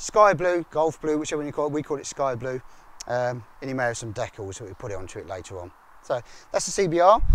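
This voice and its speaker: A man speaks at a fairly quick pace. The sound is dry with no echo, over light background noise. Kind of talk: walkaround commentary. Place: street. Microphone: phone near.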